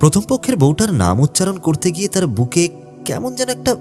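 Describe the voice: What we hear is plain reading aloud.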